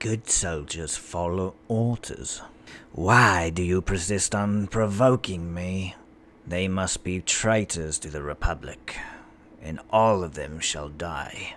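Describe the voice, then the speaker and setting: Putting on a character voice, a man speaks very deep and low at a fairly slow pace. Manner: cold, deadpan.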